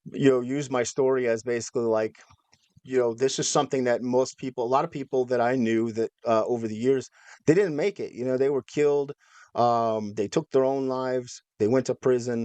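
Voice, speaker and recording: Against a quiet background, a man speaks in a normal speaking voice at a medium pitch with fairly even intonation, and the sound is dry and close with no echo. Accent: American. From Minnesota, US Midwest. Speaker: former extremist turned educator. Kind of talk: interview.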